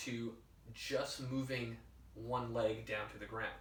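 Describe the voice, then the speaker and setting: A medium-pitched man is heard with audible room echo around his voice. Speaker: fitness coach and podcast host. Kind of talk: solo podcast talk, instructional. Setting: whiteboard session with laptop. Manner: casual, filler-heavy.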